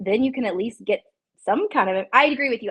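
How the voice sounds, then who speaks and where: A woman talks at a fairly quick pace with ordinary pitch variation. It is a plain, everyday voice. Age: 30s. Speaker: reality TV interviewer. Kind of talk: casual interview chat.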